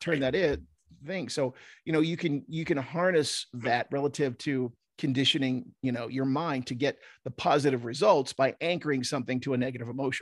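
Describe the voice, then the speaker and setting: A man with a fairly high pitch and an American accent, an unremarkable speaking voice, ordinary pitch variation, a fairly quick pace, and a quiet background. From US Northeast, South Jersey. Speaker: hypnotist and former stand-up comedian. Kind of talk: casual chat.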